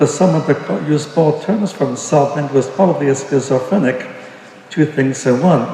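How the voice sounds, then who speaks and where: An American accent amid noticeable background noise and audible room echo. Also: man. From Brooklyn, New York. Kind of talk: testimony. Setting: church service.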